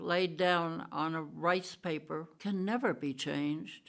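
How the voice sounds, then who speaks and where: The woman's voice sits fairly low in pitch, with ordinary pitch variation. She speaks at a very slow pace. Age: 80s+. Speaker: painter and author. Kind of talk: personal narration.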